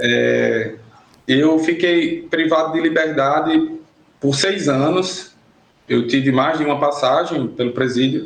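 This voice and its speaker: Audible room echo surrounds a man's fairly high voice as he speaks very slowly, with very even loudness and ordinary pitch variation. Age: 30s. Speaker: former prisoner. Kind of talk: podcast interview.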